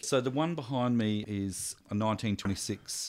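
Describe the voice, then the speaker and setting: On a very clean recording with a silent background, a man with an Australian accent talks at a moderate pace, with a fairly low pitch and ordinary pitch variation. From Adelaide, South Australia. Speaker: musician, singer-songwriter. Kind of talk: casual interview chat. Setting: home recording studio.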